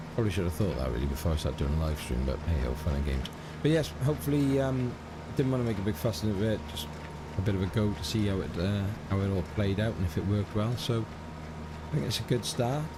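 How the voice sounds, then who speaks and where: Speaking very fast with very wide pitch swings, a man with an English accent has a very deep, low pitch, heard with audible room echo and noticeable background noise. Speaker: gaming streamer. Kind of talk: casual live stream chat. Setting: live stream, home setup. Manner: hesitant, many fillers.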